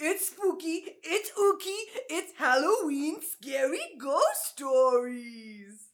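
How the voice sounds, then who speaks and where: Delivered at a very slow pace, the put-on character voice is pitched extremely high. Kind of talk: exaggerated. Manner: spooky, playful.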